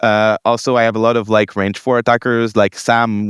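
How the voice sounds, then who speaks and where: Speaking at a fairly quick pace in a monotone, flat delivery, a man with a Quebec accent is captured on a very clean recording with a silent background and a dry, close sound with no echo. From Quebec, Montreal. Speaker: tabletop game tournament winner. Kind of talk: interview. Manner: halting.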